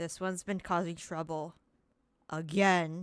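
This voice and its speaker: Using a put-on character voice, a woman speaks at a fairly low pitch with a rumbling quality. Her delivery is fairly slow, with monotone, flat intonation. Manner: grumbling.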